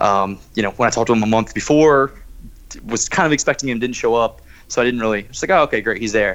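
A man is speaking. His pace is very fast. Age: 20s. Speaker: casino host. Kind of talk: podcast interview. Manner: hesitant, filler-heavy.

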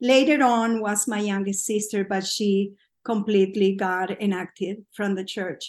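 A woman with a normal speaking voice talks at a fairly slow pace and medium pitch, her intonation fairly even against a quiet background. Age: 50s. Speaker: podcast guest, pilgrim. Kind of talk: personal testimony. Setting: remote call recording.

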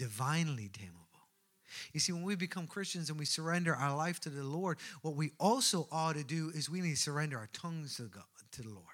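On a very clean recording with a silent background, a man with an Irish accent and a fairly high pitch talks at a very fast pace with lively intonation and long, frequent pauses. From Ireland, Newbridge, County Kildare. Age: 30s. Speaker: pastor. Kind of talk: sermon. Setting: church.

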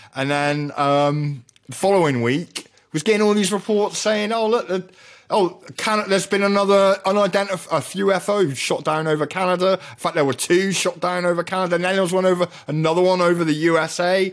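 A man with an English accent, high pitch, ordinary pitch variation and a fairly quick pace, on a very clean recording with a silent background. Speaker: radio host and chemist. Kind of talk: casual chat.

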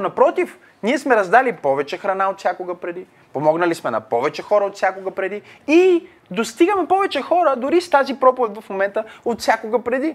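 A man's extremely high-pitched voice at a fairly quick pace, with very wide pitch swings. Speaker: pastor. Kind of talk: Q&A teaching with Bible exposition. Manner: halting, many fillers.

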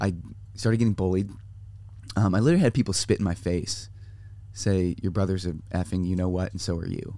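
With a Californian accent, this voice has a dark, mellow tone, fairly even intonation and a fairly quick pace broken by long, frequent pauses. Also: man, very deep, low pitch for a man. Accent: Californian American. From US West Coast, San Diego. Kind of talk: casual interview. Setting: mobile podcast studio in a trailer.

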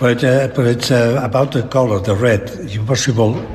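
The voice moves at a fairly slow pace with fairly even intonation. Room echo is audible, and there is noticeable background noise. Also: man. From Catalonia, Spain. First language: Catalan or Spanish. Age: old. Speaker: fine artist and illustrator. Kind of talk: interview. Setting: artist's studio. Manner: halting.

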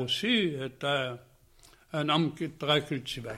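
The intonation of this man's speech is fairly even. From Quebec, Saguenay (Chicoutimi). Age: 90s. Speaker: painter. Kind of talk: interview. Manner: halting.

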